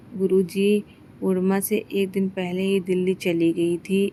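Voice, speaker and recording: Her voice sits at a medium pitch as a woman talks in a flat, monotone way. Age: 60s. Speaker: devotee sharing a thanksgiving testimony. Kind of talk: devotional testimony.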